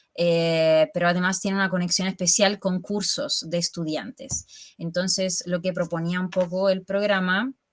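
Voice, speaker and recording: Here a woman speaks at a fairly slow pace in a normal speaking voice. Her pitch sits fairly low, with fairly even intonation. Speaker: bioconstruction guild member presenting a seminar summary. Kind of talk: online talk to colleagues, casual presentation.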